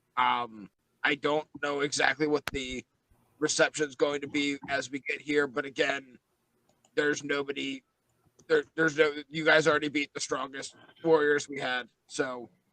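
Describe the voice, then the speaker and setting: In a put-on character voice, a man talks at a moderate pace with fairly high pitch, monotone, flat intonation and long, frequent pauses. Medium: actual play. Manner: hesitant, halting.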